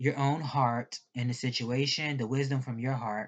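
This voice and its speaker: A woman at a moderate pace with a very deep, low pitch. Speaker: tarot reader. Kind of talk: tarot reading. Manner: stuttering; slurring.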